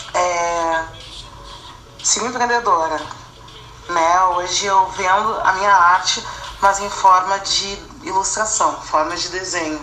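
A woman speaks at a very slow pace with long, frequent pauses, her pitch medium and her intonation fairly even. Noticeable background noise and audible room echo fill the recording. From southern Brazil, Rio Grande do Sul. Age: 30s. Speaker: fashion designer and illustrator. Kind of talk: interview testimony.

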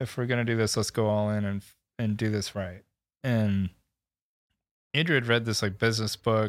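A man with a fairly low pitch, monotone and flat in intonation, at a moderate pace, on a very clean recording with a silent background. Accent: American. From Michigan. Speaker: filmmaker, production company owner. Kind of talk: casual chat.

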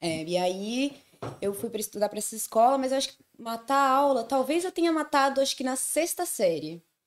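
Fairly quick and high-pitched, a woman's voice jumps through very wide pitch swings and big swings in loudness. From Brazil, Santo André (São Paulo ABC region). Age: 20s. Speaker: podcast guest. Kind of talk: casual chat, personal stories. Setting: live-streamed video podcast.

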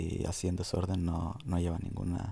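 A man speaks in a very deep, low voice that is somewhat breathy, with a dark, mellow tone. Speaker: podcast co-host. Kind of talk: casual chat.

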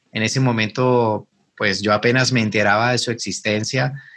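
A man speaks with a Cali accent. His pace is moderate. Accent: Colombian Spanish (Cali, caleño). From Colombia, Cali. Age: 40s. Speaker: math teacher and YouTuber. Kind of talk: interview conversation.

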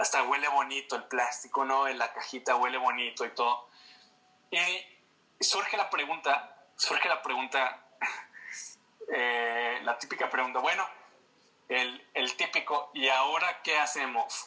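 Over noticeable background noise, a man speaks at a medium pitch and a fairly slow pace. His loudness stays very even, with ordinary pitch variation. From Mexico, Guadalajara (Jalisco). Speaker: fashion designer and creative director. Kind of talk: casual interview.

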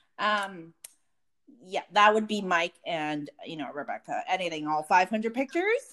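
The tone is bright and sharp, with lively intonation. Loudness swings widely, and the pace is fairly slow. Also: woman, medium pitch for a woman. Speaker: podcast co-host. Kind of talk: casual chat. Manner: talkative.

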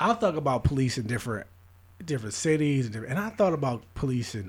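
On a very clean recording with a silent background, a somewhat breathy voice with an American accent rushes along at a very fast pace, intonation lively. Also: man. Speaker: podcast host. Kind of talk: casual chat.

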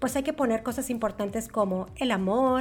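With music playing in the background, a woman talks in a fairly high voice with ordinary pitch variation. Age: 40s. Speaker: network marketer. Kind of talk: interview.

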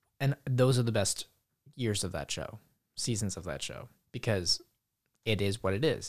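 In an unremarkable speaking voice, a man with a fairly low pitch talks at a moderate pace with ordinary pitch variation. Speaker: podcast co-host. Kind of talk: casual banter. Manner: joking, playful.

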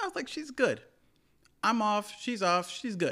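A man's pitch swings very widely as he speaks in an American accent. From US, West Indian household. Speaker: podcast co-host. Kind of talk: casual chat.

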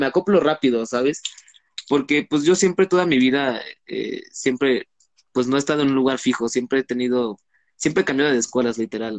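Medium in pitch, a man's unremarkable speaking voice moves at a moderate pace, with a dry, close sound with no echo. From Mexico, Cancún, Quintana Roo. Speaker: law student. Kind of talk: casual chat.

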